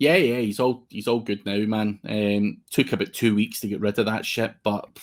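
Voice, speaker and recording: A man at a fairly low pitch with fairly even intonation, on a very clean recording with a silent background. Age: 40s. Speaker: SEO agency owner. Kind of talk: casual interview chat. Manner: casual, sweary.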